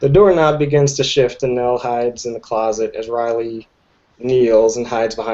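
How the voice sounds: The speaker reads in a natural reading voice, with ordinary pitch variation.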